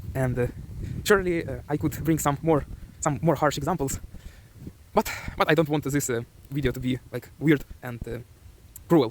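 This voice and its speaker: With a Ukrainian accent, a man speaks at a moderate pace and fairly high pitch, his pitch varying in an ordinary way. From Ukraine. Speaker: self-improvement vlogger. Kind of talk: motivational vlog. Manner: hesitant.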